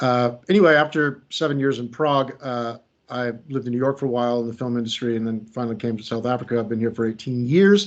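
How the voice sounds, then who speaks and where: With an American accent, a man talks at a fairly quick pace in a medium pitch, showing ordinary pitch variation. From United States. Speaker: creativity coach and trainer. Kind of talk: workshop presentation. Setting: video call. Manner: hesitant, many fillers.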